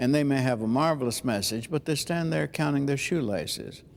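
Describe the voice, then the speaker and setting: Here is a man with an unremarkable speaking voice. His pitch is fairly high and his intonation is lively. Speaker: preacher and homiletics teacher. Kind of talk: interview answer. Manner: conversational, thoughtful.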